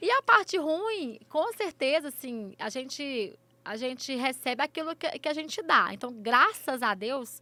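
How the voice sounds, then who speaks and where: A woman's high, raised, projected voice with a bright, sharp tone, very wide pitch swings and a fairly slow pace. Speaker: influencer and runner. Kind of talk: interview. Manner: halting, repeated syllables.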